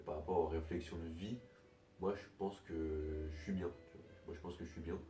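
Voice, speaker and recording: Someone soft-spoken is whispering while music plays in the background. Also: man, moderate pace. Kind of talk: casual monologue to camera. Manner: soft-spoken, partly whispered.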